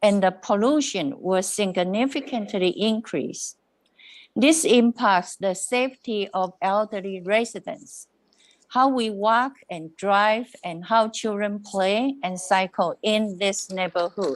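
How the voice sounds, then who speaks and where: Against a quiet background, a woman with a medium pitch speaks at a very slow pace with ordinary pitch variation. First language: not English. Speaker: resident delegate at council meeting. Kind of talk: public comment statement.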